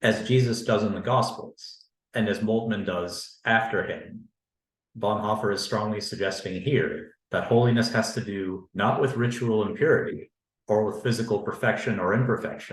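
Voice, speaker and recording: A man talks at a moderate pace in a monotone, flat intonation. His voice is somewhat breathy. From Canada. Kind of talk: academic panel talk. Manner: formal.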